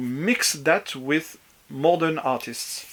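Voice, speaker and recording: A man speaks with a French accent. His intonation is lively. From France, Brittany. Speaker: vinyl collector. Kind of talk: video response, casual talk. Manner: halting, many fillers.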